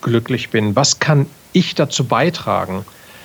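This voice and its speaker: Speaking at a fairly slow pace, a man with a fairly high pitch uses lively intonation over noticeable background noise. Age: 40s. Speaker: podcaster and entrepreneur, former army officer. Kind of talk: casual interview.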